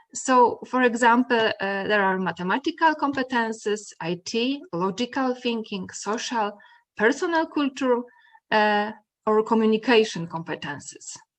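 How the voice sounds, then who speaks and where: With a Polish accent, a woman speaks at a moderate pace and fairly high pitch. Her intonation is lively, and the background is quiet. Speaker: mathematics educator. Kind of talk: conference presentation. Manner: halting.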